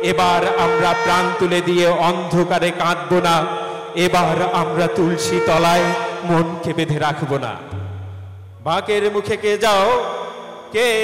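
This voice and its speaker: A man talks at a high pitch with music in the background. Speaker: poetry reciter. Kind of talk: poetry reading. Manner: emotional, expressive.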